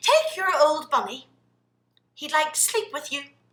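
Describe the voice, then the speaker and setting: Using a squeaky, put-on character voice, a woman speaks in a high pitch with lively intonation at a moderate pace. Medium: read story.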